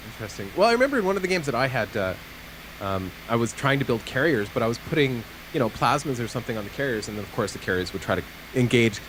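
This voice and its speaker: A man talks at a very fast pace with a medium pitch, an animated tone and lively intonation, over noticeable background noise. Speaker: gaming commentator. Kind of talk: live commentary.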